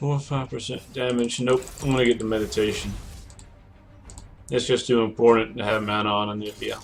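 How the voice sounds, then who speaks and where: A man with a medium pitch speaks at a fairly quick pace in a monotone, flat delivery broken by long, frequent pauses. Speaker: gaming streamer. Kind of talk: live gameplay commentary. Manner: casual, thinking aloud.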